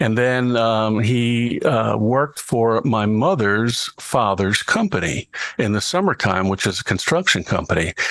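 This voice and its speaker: Using a normal speaking voice with an American accent, a man of medium pitch speaks fairly slowly, hardly pausing, over a quiet background. His intonation is lively while his loudness stays very even. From Baltimore, Maryland, US. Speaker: voice artist and TV show host. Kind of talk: interview.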